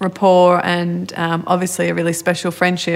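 With an Australian accent, a woman speaks at a moderate pace in a fairly low pitch. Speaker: podcast host. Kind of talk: interview.

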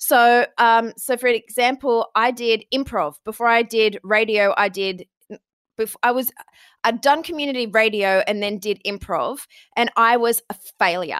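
A woman with a fairly high pitch speaks at a moderate pace with ordinary pitch variation, an unremarkable speaking voice, in a dry, close sound with no echo on a very clean recording with a silent background. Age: 40s. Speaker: podcast booking agency founder. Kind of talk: interview conversation.

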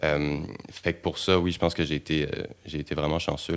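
Very deep, low male voice with monotone, flat intonation. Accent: Quebec. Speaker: actor. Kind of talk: casual discussion. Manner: halting, repetitive.

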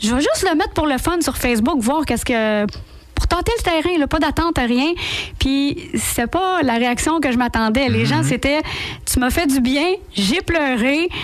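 Her pitch is high for a woman, with lively intonation. The woman's loudness stays very even. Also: moderate pace. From Quebec, Laval. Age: 40s. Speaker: impressionist and sound-effects comedian. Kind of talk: radio interview. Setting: radio studio.

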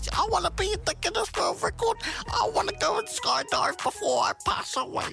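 A man speaks in a put-on character voice at a fairly quick pace, with clear music playing behind him.

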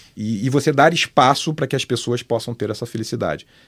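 Talking very fast with ordinary pitch movement, a man is heard on a very clean recording where the background is silent. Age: 50s. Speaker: media company director. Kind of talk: casual chat.

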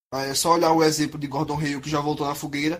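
Medium-paced speech from a man, pitched fairly high. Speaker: podcast co-host. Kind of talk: casual chat.

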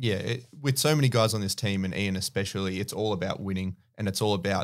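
This voice comes with an Australian accent at a fairly quick pace, its intonation fairly even. The recording is very clean, with a silent background. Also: man. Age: 20s. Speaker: basketball podcast host. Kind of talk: casual chat.

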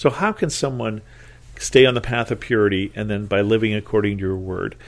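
Against a quiet background, a man with an unremarkable speaking voice talks at a moderate pace, his fairly low pitch held in fairly even intonation. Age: 60s. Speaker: Bible study podcast host. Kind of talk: Bible teaching.

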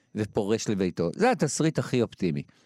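A man talks at a fairly quick pace in a plain, everyday voice, fairly low in pitch. The recording is very clean with a silent background and a dry, close sound with no echo. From Israel, Jerusalem. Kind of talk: interview.

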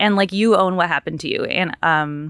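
On a very clean recording with a silent background, a woman talks in a normal speaking voice at a moderate pace with fairly even intonation. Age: 30s. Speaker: literature scholar with a PhD. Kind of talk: casual chat.

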